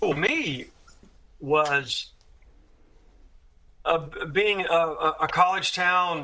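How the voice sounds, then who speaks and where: In an Alabama accent, a man talks at a very slow pace with long, frequent pauses. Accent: Southern US (Alabama), self-described. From US South, Tuscaloosa, Alabama. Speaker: career drummer. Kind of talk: interview conversation. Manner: halting, repetitive restarts.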